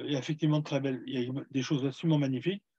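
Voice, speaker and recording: A man talks at a very fast pace. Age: 70s. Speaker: heritage association vice-president, speaker. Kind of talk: webinar Q&A.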